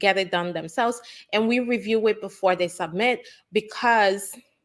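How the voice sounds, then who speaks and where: A woman with an American accent speaks in a normal speaking voice at a moderate pace with ordinary pitch variation. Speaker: immigration lawyer. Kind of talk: live Q&A chat.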